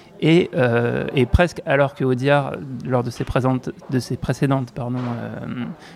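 A man's medium-pitched voice, slightly mellow in tone, with vocal fry, fairly even intonation and a fairly slow pace

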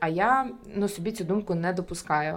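A woman talks with a fairly low pitch. Her pitch varies in an ordinary way. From Ukraine, Kyiv. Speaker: entrepreneur. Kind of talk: interview conversation. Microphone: sound quality varies due to technical issues.

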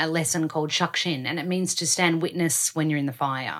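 A woman with an Australian accent talks at a fairly quick pace with fairly even intonation. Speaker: podcast host. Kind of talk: casual interview.

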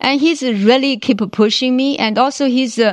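A woman with a Chinese accent at a fairly slow pace over a quiet background. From China. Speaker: engineering executive. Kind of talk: interview. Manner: halting, many fillers.

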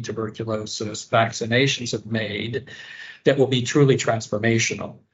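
A man speaks in a somewhat breathy voice. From US, rural northwest Pennsylvania. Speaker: public health nutrition leader. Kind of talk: interview. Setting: remote call.

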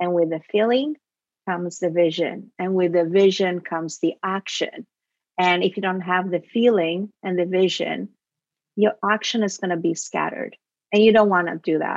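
Speaking with an Italian accent at medium pitch, a woman keeps a moderate pace and fairly even intonation, the sound dry and close with no echo. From Italy. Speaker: film producer. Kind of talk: interview.

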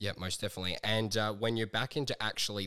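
In a very clean recording with a silent background, a man speaks with an Australian accent. His voice is fairly low in pitch with a bright, sharp tone. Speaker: podcast host and fitness trainer. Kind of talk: podcast intro and promo; casual interview.

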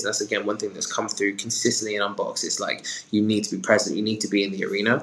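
With a British accent, the speaker races along at a very fast pace in a flat, monotone way over noticeable background noise. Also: man. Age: 20s. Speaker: talent manager. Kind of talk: interview answers.

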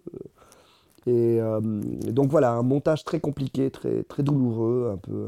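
A man speaks very slowly in a dark, mellow tone at medium pitch with ordinary pitch variation. The sound is dry and close, with no echo. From Ecuador (Quito), then Lausanne, Switzerland from age 13. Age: 40s. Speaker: documentary filmmaker. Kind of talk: interview. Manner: halting, many repetitions.

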